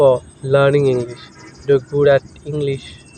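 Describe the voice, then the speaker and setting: A man with a Bengali accent, fairly high pitch and fairly slow pace, over noticeable background noise. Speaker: English teacher. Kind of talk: tutorial. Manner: halting.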